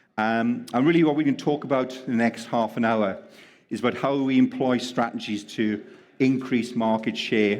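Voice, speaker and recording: In a Welsh accent, a man talks with ordinary pitch variation. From Wales. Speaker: panel moderator. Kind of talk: panel discussion.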